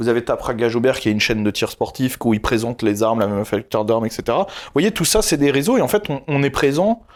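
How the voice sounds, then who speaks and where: Very fast speech with very wide pitch swings on a very clean recording against a silent background. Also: man. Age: 20s. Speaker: YouTuber. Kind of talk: interview. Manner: loud, outspoken.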